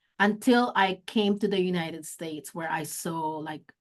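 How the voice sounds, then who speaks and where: Someone with a Filipino accent speaks at a fairly slow pace. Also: woman. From Philippines, Olongapo City (Kapampangan). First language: Kapampangan. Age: 50s. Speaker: executive director of an advocacy organization. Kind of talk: interview. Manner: halting, frequent self-corrections and fillers.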